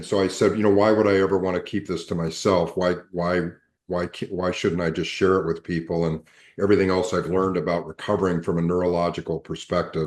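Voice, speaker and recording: A man's very deep, low voice, very fast and monotone with flat intonation, over a quiet background. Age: 60s. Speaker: recovery coach and neuro educator. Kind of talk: interview conversation. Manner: halting, with many fillers.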